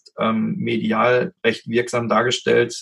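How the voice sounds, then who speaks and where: The speaker is male. His delivery comes at a fairly unhurried pace. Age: 30s. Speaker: anesthetist and emergency doctor. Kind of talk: casual interview. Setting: remote recording from home office.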